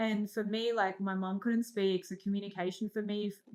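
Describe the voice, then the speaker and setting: In an Australian accent, a woman speaks at a medium pitch with a monotone, flat intonation. Her pace is fairly quick. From Australia, born in Iran. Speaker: entrepreneur and investor. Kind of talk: casual interview chat.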